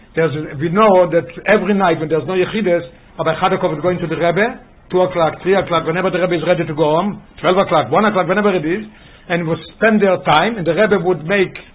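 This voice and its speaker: Very fast speech with fairly even intonation carries audible room echo. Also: man. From Israel. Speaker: rabbi teaching Torah class. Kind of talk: lecture with storytelling. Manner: halting, repeats words.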